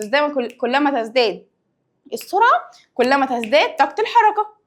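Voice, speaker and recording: A woman with an Egyptian accent speaks at a moderate pace in a high voice. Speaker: science teacher. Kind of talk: lecture. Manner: lowered, quieter voice.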